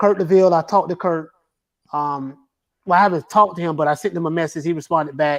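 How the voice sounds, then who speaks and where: Against a quiet background, a high-voiced man with a Southern accent speaks at a very fast pace with fairly even intonation. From Florida, US South. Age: 40s. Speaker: boxing YouTuber. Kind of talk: casual chat.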